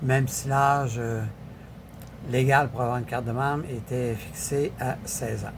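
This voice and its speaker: Flat, monotone intonation at a fairly slow pace, with long, frequent pauses and audible room echo. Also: man, medium pitch for a man. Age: 70s. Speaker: political commentator. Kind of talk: casual political commentary. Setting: social media video. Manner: halting, many fillers.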